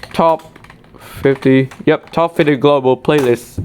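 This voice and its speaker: Speech in a Vietnamese accent comes at a very slow pace. Light background noise can be heard. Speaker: tech YouTuber. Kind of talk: screen-recorded tutorial walkthrough. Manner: halting, with self-corrections. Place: home room. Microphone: phone near.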